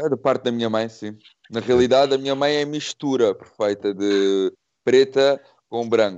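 A man with an ordinary speaking voice talks fairly slowly at a medium pitch with fairly even intonation. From Portugal, Cascais area. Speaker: actor. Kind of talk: casual interview chat.

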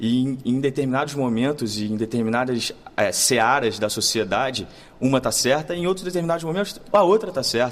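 A man at a medium pitch, with lively intonation and a fairly quick pace. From Brazil, Rio de Janeiro. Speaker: actor. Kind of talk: interview. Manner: halting.

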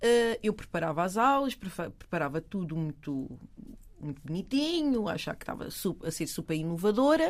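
Speaking at a moderate pace, a woman with a medium pitch moves through very wide pitch swings. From Portugal, Lisbon south bank. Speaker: educational consultant. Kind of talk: casual chat.

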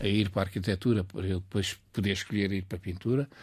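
Speaking at a fairly quick pace, a man has a fairly low pitch and a dark, mellow tone. His voice is somewhat breathy over a quiet background. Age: 80s+. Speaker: painter and art school founder. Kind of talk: interview. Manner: halting.

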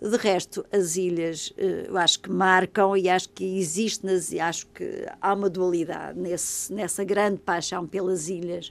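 The speech moves at a fairly slow pace in a monotone, flat intonation, with hardly any pauses. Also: woman, medium pitch for a woman. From Portugal, Madeira. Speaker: novelist and journalist. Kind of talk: interview.

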